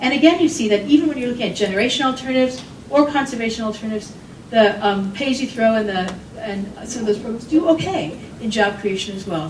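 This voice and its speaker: A woman with an American accent talks at a very fast pace, her medium-pitched voice full of lively intonation, with audible room echo and noticeable background noise. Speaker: economist and consultant. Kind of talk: conference talk.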